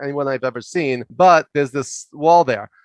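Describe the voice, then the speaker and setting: With a New York accent, a man speaks at a fairly high pitch with ordinary pitch variation over a quiet background. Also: dry, close sound with no echo. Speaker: leadership coach and professor. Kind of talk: interview storytelling. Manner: loud and fast.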